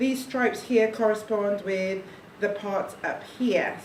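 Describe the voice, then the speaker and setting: With audible room echo and noticeable background noise, a woman speaks at a fairly slow pace, her fairly high pitch carried by fairly even intonation. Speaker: parent demonstrating baby carrying. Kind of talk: tutorial. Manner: soft-spoken.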